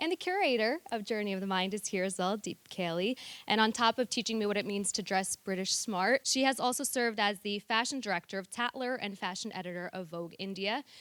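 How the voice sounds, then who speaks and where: An unremarkable speaking voice, a woman with an American accent talks at a medium pitch and a fairly quick pace with hardly any pauses and ordinary pitch variation, in a very clean recording with a silent background and a dry, close sound with no echo. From United States. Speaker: panel moderator. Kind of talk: panel discussion moderation. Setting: theatre stage with audience.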